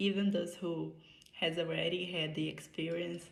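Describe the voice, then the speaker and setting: A woman with a Brazilian Portuguese accent speaks at fairly low pitch and moderate pace with vocal fry, and audible room echo surrounds her. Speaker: medical student. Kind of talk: prepared conference speech. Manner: halting non-native phrasing.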